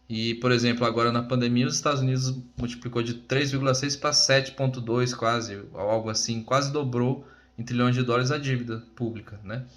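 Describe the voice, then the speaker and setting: A man delivers his words in a monotone, flat intonation at a fairly quick pace. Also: medium pitch for a man. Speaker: crypto presenter / job candidate. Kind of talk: informal presentation. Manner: fast.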